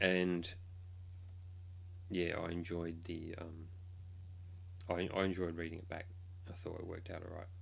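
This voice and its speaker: A man with a very deep, low voice speaks at a moderate pace in a flat monotone, somewhat breathy, with long, frequent pauses and audible room echo. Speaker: K-pop blogger and streamer. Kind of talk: casual live stream chat. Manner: hesitant, many ums.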